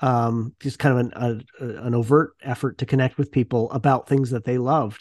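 A man with a Canadian accent has an unremarkable speaking voice at medium pitch and a moderate pace. The sound is dry and close with no echo, over a quiet background. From Ontario, Canada. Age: 40s. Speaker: podcast host and academic. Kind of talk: interview answers, casual.

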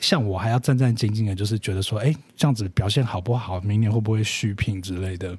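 Speaking at a very fast pace with hardly any pauses, a man uses a fairly low, somewhat breathy voice with ordinary pitch variation. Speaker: influencer marketing specialist. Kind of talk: casual chat. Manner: quiet, low-energy.

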